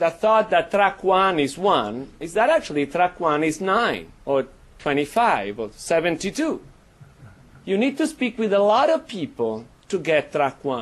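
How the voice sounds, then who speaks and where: Against a quiet background, someone with an Italian accent talks at a fairly slow pace. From Italy. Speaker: professor. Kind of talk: panel talk.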